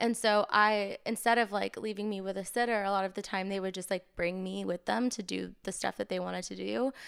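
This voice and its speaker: An unremarkable speaking voice from a woman with an American accent, medium in pitch, at a fairly quick pace with hardly any pauses and fairly even intonation, on a very clean recording with a silent background. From Maine, New England US. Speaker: singer-songwriter. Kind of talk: casual interview chat. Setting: studio.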